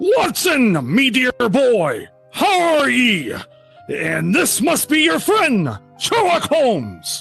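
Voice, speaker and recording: A put-on character voice at a very slow pace over faint music in the background. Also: man. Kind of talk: vintage radio drama performance. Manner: hearty, jovial.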